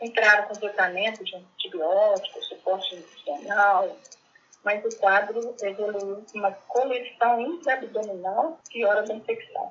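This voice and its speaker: At a fairly slow pace, a woman with an ordinary speaking voice talks in a fairly high pitch with ordinary pitch variation. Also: big swings in loudness. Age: 60s. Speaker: cancer patient. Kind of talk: personal testimony. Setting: phone call. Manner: calm.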